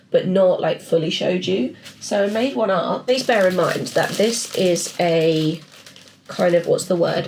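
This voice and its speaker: A woman speaks with an English accent and lively intonation. Her voice is somewhat breathy. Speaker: artist and illustrator vlogger. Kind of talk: casual vlog chat. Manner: chatty, rambling.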